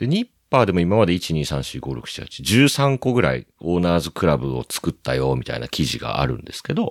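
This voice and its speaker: A man speaks with very deep, low pitch, vocal fry and very wide pitch swings. His moderate pace comes through a dry, close sound with no echo. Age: 40s. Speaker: plastic model photographer and website operator. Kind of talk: casual chat.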